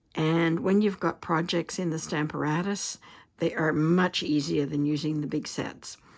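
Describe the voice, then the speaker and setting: The recording is very clean, with a silent background. A woman talks at a fairly slow pace with a very deep, low pitch. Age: 70s. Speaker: card-making crafter. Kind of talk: tutorial. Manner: casual, chatty.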